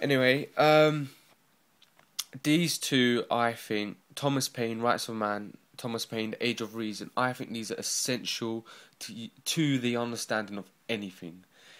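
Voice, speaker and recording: A man speaks with a North London accent at a fairly slow pace. His pitch is medium and its variation is ordinary. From North London, England. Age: 20s. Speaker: book reviewer vlogger. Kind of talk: casual video review. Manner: halting, many fillers.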